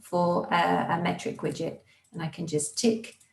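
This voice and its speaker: A woman speaks in a somewhat breathy voice. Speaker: software consultant. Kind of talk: tutorial.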